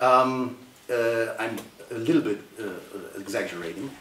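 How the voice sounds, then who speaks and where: A man with a German accent is heard with audible room echo and noticeable background noise. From Germany. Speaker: politician and author. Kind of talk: panel discussion. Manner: halting.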